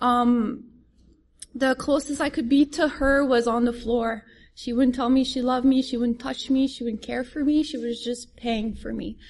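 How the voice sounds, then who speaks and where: With a French accent, a high-pitched woman speaks at a moderate pace with fairly even intonation. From France. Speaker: recovering addict sharing story. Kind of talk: testimony. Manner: halting.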